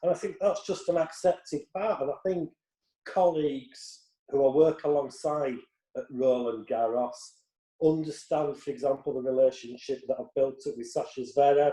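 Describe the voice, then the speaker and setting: Pitched fairly high, a man with a Yorkshire accent speaks at a moderate pace in a dark, mellow tone with ordinary pitch variation. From Yorkshire, northern England. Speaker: tennis reporter. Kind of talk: interview.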